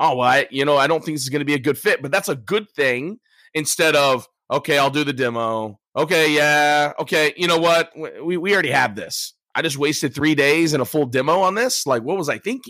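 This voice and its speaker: On a very clean recording with a silent background, a man with an American accent talks at a fairly quick pace. His fairly high voice has a bright, sharp tone and ordinary pitch variation. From US. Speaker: sales and storytelling trainer. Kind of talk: casual interview.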